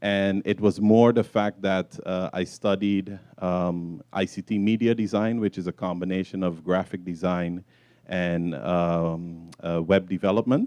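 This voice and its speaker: A man's fairly low, dark, mellow voice at a fairly slow pace, with ordinary pitch variation, dry, close sound with no echo and a quiet background. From Sint Maarten. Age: 30s. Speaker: entrepreneur. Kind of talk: talk to an audience. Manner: halting.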